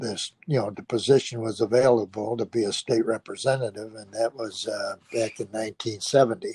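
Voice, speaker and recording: A dark, mellow, somewhat breathy voice with an American accent at a fairly quick pace, hardly any pauses, big swings in loudness, and a dry, close sound with no echo. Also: man, medium pitch for a man. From Chicago, Illinois (Bridgeport). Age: 80s+. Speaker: former politician. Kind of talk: interview. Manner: halting, many fillers.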